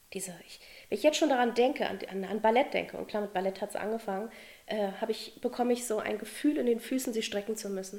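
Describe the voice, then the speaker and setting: A woman talks at a fairly quick pace, her fairly high pitch varying in an ordinary way. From Berlin, Germany. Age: 40s. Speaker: dance teacher. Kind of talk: podcast interview. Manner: animated.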